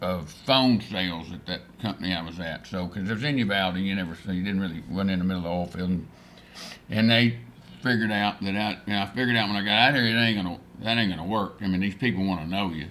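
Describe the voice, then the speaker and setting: In a West Texas accent, a man speaks at a fairly low pitch. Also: ordinary pitch variation. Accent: West Texas drawl. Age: 70s. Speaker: rancher and oil businessman. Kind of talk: casual interview chat. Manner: halting, full of fillers and restarts.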